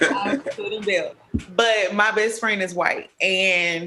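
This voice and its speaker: A woman speaks with a Southern US accent. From Mississippi, US South. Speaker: talk show panelist. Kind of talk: casual chat.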